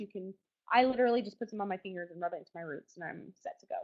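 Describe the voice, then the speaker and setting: Her pitch variation ordinary, a woman is speaking. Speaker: essential oils presenter. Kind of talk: online webinar tutorial. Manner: fast; animated.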